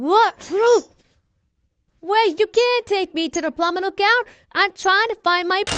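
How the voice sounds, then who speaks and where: A put-on character voice, female-sounding, reaches an extremely high pitch. It moves at a fairly slow pace with long, frequent pauses. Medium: fan dub.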